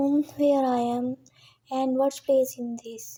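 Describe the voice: A husky put-on character voice delivers its lines at a fairly slow pace in a monotone, flat intonation. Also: woman, high pitch for a woman.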